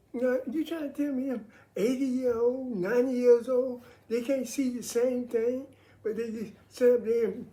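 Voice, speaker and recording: Audible room echo surrounds a woman whose high pitch carries a dark, mellow tone, with ordinary pitch variation at a moderate pace. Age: 70s. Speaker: military veteran sharing faith views. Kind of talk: casual monologue on faith and politics.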